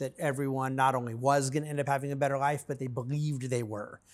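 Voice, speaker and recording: Against a very clean recording with a silent background, a man speaks in an unremarkable speaking voice, fairly high in pitch with fairly even intonation. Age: 50s. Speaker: fund manager. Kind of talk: interview conversation.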